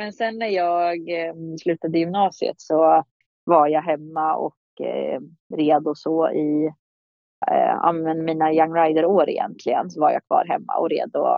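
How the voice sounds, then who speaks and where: A woman speaking at a fairly slow pace over background music. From Sweden, Kumla near Örebro. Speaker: show jumping rider. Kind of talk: casual interview. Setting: remote call.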